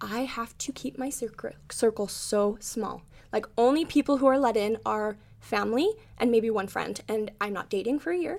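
Moderate pace and ordinary pitch variation in a woman's fairly high voice. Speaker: boutique owner, bus clothing shop. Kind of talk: casual chat.

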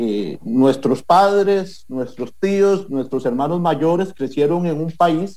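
A man's fairly high voice with a dark, mellow tone and ordinary pitch variation, at a very slow pace. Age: 30s. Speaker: political candidate. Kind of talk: interview.

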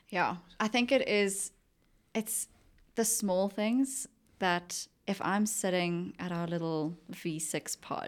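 A very slow woman's voice at medium pitch, in a very clean recording with a silent background. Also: ordinary pitch variation. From South Africa, Johannesburg. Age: 20s. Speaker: junior travel consultant. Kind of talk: casual chat.

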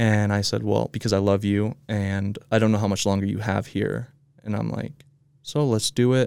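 A man with a normal speaking voice talks at a fairly low pitch. His pace is moderate and his intonation fairly even. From Utah, US. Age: 20s. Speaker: videographer and social media marketer. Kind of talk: casual interview.

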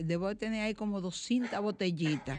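A woman at medium pitch with ordinary pitch variation, speaking at a fairly slow pace. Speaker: radio host. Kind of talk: radio magazine chat and commentary. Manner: animated.

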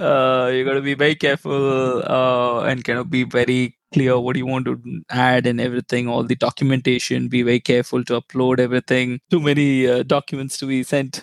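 In a dry, close recording with no echo, a man with a Tamil accent talks at medium pitch and a fairly quick pace, in a monotone, flat intonation with hardly any pauses. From India, Chennai. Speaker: business analyst. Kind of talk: casual interview.

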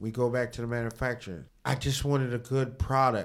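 A man with an American accent speaks at a fairly quick pace and medium pitch. He has a plain, everyday voice with fairly even intonation. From New York. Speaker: barber shop owner and inventor. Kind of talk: interview.

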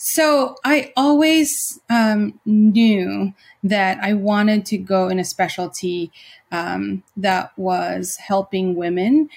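A somewhat breathy woman's voice at a very slow pace, on a very clean recording with a silent background. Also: medium pitch for a woman, lively intonation. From Philippines. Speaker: nursing professor and nurse practitioner. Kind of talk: interview. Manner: hesitant, many fillers.

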